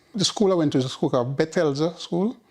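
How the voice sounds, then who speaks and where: With a Jamaican accent, a man is speaking. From rural Jamaica. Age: 70s. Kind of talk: oral history interview answer.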